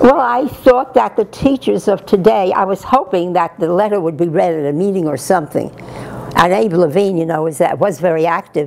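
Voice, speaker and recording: A woman with a New York accent, lively intonation and a fairly quick pace over noticeable background noise. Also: medium pitch for a woman. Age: 80s+. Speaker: retired teacher. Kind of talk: interview answer.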